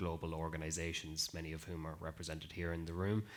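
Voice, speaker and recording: With an Irish accent, this man has a very deep, low voice. His intonation is monotone and flat. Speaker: life sciences innovation lead, panelist. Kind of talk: panel discussion.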